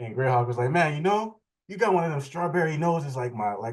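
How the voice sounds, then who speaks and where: A man's voice carries lively intonation and is somewhat breathy. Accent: New Orleans. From New Orleans, seventh ward. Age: 30s. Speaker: interviewee. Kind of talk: casual interview. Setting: video call.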